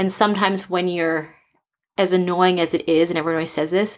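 In a very clean recording with a silent background, a woman with an American accent talks in a fairly low pitch, ordinary pitch variation and a plain, everyday voice. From US East Coast. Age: 30s. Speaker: startup founder. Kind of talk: casual interview.

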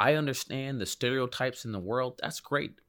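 A man with an American accent speaks at a fairly quick pace in a normal speaking voice, his pitch medium. The recording is very clean, with a silent background. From Hartford, Connecticut. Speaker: emergency physician. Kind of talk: interview conversation.

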